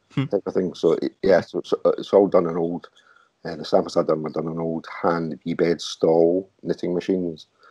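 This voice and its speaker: A man talks with a Glaswegian accent. The sound is dry and close, with no echo. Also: moderate pace. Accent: Glaswegian Scottish. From Glasgow, Scotland. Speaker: artist and technical wear designer. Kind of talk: interview answer.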